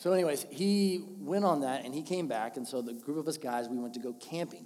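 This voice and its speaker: Animated and at a moderate pace, a man with fairly high pitch uses lively intonation, with audible room echo and noticeable background noise. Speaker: podcast host. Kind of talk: casual storytelling.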